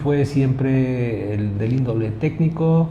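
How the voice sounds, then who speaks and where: A man speaks at a very slow pace with ordinary pitch variation, and the recording carries noticeable background noise and audible room echo. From Mexico, Puebla. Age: 60s. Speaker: local politician and engineer. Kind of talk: interview.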